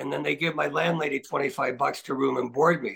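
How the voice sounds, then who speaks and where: A man speaks with a Canadian accent. Vocal fry runs through his voice. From Scarborough, Toronto, Ontario. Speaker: retired hockey player. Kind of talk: interview.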